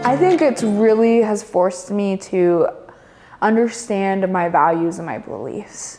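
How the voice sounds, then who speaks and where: A woman with an American accent speaks at a fairly slow pace, her pitch medium and its variation ordinary. Her loudness swings widely, and music plays in the background. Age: 20s. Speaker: college student. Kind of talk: interview answer. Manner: hesitant, many filler words.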